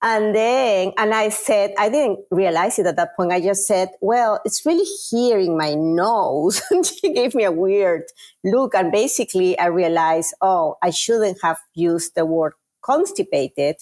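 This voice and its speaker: Using a Peruvian accent, a woman speaks at a fairly slow pace in a medium pitch, with lively intonation and very even loudness. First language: Spanish. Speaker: chief marketing officer. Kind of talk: interview.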